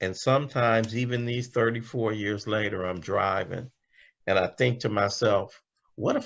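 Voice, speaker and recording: A man with an American accent speaks at medium pitch with fairly even intonation in a plain, everyday voice. The background is quiet. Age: 60s. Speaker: recovering alcoholic speaker. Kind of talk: testimony. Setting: video call.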